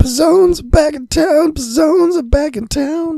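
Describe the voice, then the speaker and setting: A high-pitched, put-on character voice speaks at a fairly slow pace. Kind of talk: announcer-like, theatrical.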